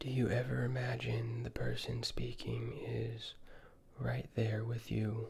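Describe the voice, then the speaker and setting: Someone whispers, soft-spoken, at a very slow pace. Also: man. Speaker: ASMR creator. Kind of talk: ASMR roleplay questions. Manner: soft-spoken or whispering.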